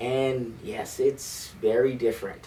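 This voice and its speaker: This man talks at a medium pitch with lively intonation. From Bahamas. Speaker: high school band director. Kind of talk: interview. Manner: hesitant, many fillers.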